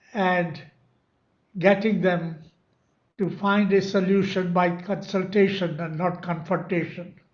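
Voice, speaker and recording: In a room with audible echo, a man with a high pitch talks at a very slow pace in a monotone, flat intonation. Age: 90s. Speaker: memoir author. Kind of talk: speech.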